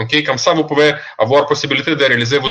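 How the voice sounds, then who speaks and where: Man with a non-native accent, a fairly high pitch and a bright, sharp tone. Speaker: online seminar presenter. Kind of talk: webinar presentation. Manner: halting, many fillers.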